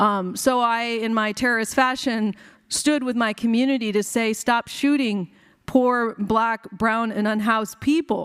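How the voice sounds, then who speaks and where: Fairly high for a woman, her ordinary speaking voice moves at a fairly slow pace with fairly even intonation. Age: 50s. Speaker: physician and activist. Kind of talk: keynote speech.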